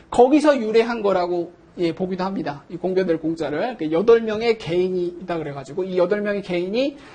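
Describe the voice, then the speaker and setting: Against noticeable background noise, a high-pitched man speaks at a fairly quick pace with lively intonation and hardly any pauses. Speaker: professor. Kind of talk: lecture.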